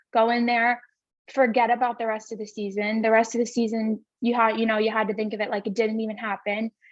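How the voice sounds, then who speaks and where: Speaking at a very fast pace with a Long Island accent, a woman holds a fairly high pitch in a monotone, flat intonation. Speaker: college softball player. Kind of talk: interview.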